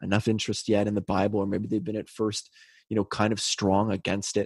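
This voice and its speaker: A man's fairly low, monotone voice with flat intonation and a Canadian accent, very fast, in a dry, close sound with no echo and a very clean recording with a silent background. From Canada (British Columbia). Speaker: podcast co-host. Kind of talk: casual chat.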